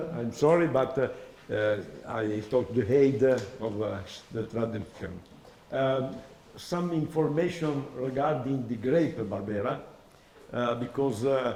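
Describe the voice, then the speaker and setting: Over noticeable background noise and audible room echo, a man speaks at a fairly slow pace with a fairly high pitch and ordinary pitch variation. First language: Italian. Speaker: oenology professor. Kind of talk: lecture. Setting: masterclass with audience. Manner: halting.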